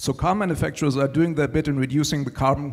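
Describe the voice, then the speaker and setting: The speaker has a German accent. The recording is very clean, with a silent background. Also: man. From Germany. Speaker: panelist. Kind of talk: panel discussion.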